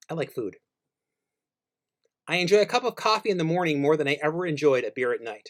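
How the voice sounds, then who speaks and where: At a very fast pace broken by long, frequent pauses, a man speaks at a fairly high pitch with lively intonation, the sound dry and close with no echo. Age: 60s. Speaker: radio co-host and music writer. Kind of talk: commentary with reading aloud from own book. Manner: reflective.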